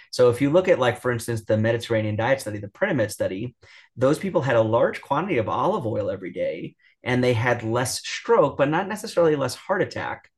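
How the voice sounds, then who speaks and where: A man with an American accent, somewhat breathy, at a fairly quick pace with lively intonation. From New York. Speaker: cardiologist. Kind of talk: interview. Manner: filler-heavy, many ums and restarts.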